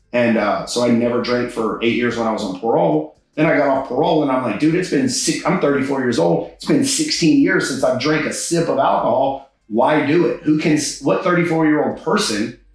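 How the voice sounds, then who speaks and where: In a normal speaking voice with an American accent, a man talks at a fairly quick pace and fairly high pitch, his intonation lively and hardly any pauses between words. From Texas, Houston area (Katy). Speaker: stand-up comedian. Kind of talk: interview conversation.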